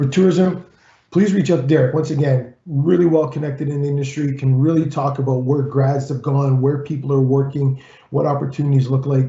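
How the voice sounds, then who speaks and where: Speaking at a fairly quick pace, a man with a fairly high, somewhat breathy voice keeps his intonation fairly even. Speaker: college employer relations consultant and rugby coach. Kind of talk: presentation. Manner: fast.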